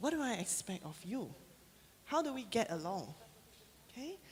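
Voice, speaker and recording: Her voice somewhat breathy, a woman talks at a fairly slow pace with very wide pitch swings. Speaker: guest lecturer. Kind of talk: lecture. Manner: casual, interactive.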